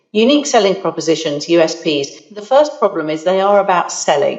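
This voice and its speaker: A woman talks with lively intonation. There is noticeable background noise. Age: 50s. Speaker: marketing consultant. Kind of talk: interview.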